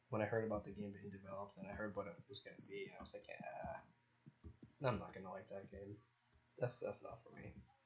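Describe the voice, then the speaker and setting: At a fairly quick pace, a man speaks in a fairly low pitch, sounding somewhat breathy. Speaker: gamer. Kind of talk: casual gameplay commentary. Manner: speaks low.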